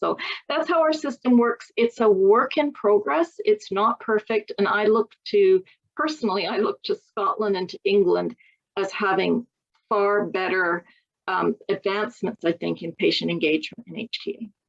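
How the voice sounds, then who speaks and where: Lively intonation carries the speech while music plays in the background. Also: woman, fairly high pitch for a woman, moderate pace. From Canada. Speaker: patient advocate. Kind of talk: interview answer.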